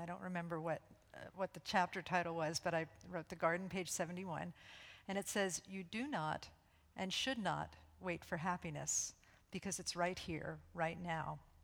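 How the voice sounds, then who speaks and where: At a moderate pace, a woman speaks with a fairly low pitch, fairly even intonation and vocal fry. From New York. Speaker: spiritual center minister. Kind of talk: interview on stage before congregation. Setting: church service with live audience.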